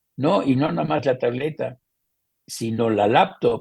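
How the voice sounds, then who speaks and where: A man's somewhat breathy voice, dark and mellow in tone, moves at a fairly slow pace. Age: 80s+. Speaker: photographer. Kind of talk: interview answer.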